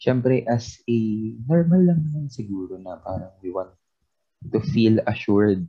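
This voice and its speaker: Somewhat breathy and at a medium pitch, a man speaks at a fairly slow pace with lively intonation and big swings in loudness. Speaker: podcast co-host. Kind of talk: casual chat. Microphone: weak internet connection.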